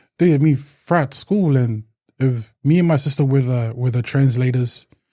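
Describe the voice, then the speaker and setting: A man's medium-pitched voice has a dark, mellow tone, a somewhat breathy quality, ordinary pitch variation and very even loudness. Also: moderate pace. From New Zealand, Samoan family. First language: Samoan. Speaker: community support worker. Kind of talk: interview conversation. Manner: halting, with repetitions.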